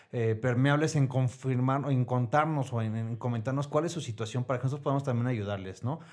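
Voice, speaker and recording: A man's normal speaking voice, medium in pitch, at a fairly quick pace with fairly even intonation and hardly any pauses. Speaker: clinic administrative director. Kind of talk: casual chat.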